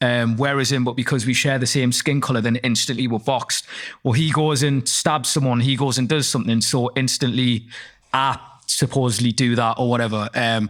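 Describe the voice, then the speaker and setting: With a Geordie accent, a man speaks fairly quickly at a medium pitch, his intonation flat and monotone and his loudness very even. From northeast England. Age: 20s. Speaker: rapper and actor. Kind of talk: casual interview chat.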